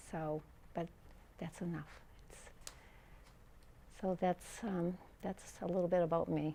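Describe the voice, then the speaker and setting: A woman speaks in a fairly low voice with a dark, mellow tone. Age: 70s. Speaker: retired teacher and runner. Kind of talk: interview testimony. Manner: halting, many fillers.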